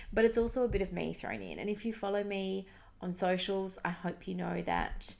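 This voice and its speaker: This soft-spoken voice moves at a moderate pace. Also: woman. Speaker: podcast host, pediatric dietitian. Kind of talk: casual monologue. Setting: home recording at night. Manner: chatty, informal.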